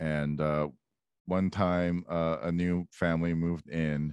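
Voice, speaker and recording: Over a quiet background, a man speaks with a very deep, low pitch and fairly even intonation in a dry, close sound with no echo. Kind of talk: casual chat. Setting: video call. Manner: crude, joking.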